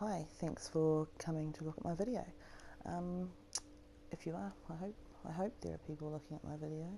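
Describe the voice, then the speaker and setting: A woman with a New Zealand accent talks at a moderate pace in a very deep, low pitch, using lively intonation and long, frequent pauses. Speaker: gaming YouTuber. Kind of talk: gameplay walkthrough commentary. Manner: casual, hesitant with fillers.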